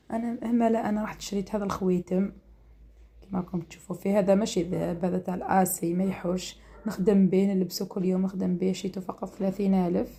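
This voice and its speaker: A woman with an Algerian accent speaks in a monotone, flat intonation. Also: medium pitch for a woman, moderate pace. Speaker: home cooking and lifestyle vlogger. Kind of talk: casual vlog.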